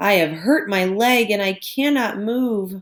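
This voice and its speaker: A put-on character voice sits fairly high in pitch. Its delivery is fairly slow. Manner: sad, pleading.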